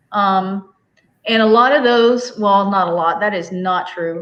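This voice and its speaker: The speech comes in a Southern US accent at a fairly slow pace. Intonation stays fairly even. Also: woman. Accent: US South. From Arkansas, Fort Smith. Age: 40s. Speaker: homestead livestreamer. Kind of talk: casual chat. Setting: livestream video call.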